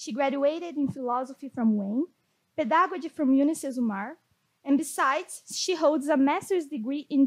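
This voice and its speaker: The speaker has a Portuguese accent and lively intonation, recorded with a dry, close sound and no echo. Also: woman. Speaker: podcast host. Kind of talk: scripted intro; interview in English.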